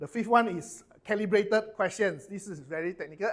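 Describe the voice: A man speaks at a moderate pace in a high pitch with a fairly bright tone and ordinary pitch variation.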